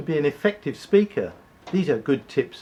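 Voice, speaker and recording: A somewhat breathy male voice. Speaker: public speaking coach. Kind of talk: conversational tutorial.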